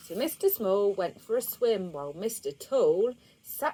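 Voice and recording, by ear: What you hear is reading aloud in a natural voice.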